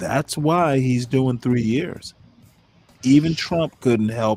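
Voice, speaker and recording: Over music in the background, a man with an American accent talks at a very slow pace and medium pitch, with ordinary pitch variation. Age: 60s. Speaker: debate show host. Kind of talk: heated debate. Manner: animated; interrupting, crosstalk.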